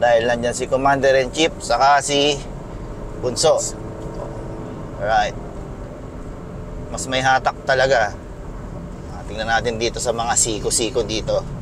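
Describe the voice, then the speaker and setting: Over noticeable background noise, a man with a medium pitch talks at a fairly slow pace in a monotone, flat intonation, leaving long, frequent pauses. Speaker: car reviewer. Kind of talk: test drive commentary. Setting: in a car. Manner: casual, conversational.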